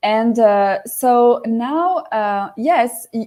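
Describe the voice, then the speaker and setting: A woman speaks with a French accent. Her voice sits at a fairly high pitch and has a dark, mellow tone. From southern France, Marseille. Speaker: life coach guest. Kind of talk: casual interview. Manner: halting.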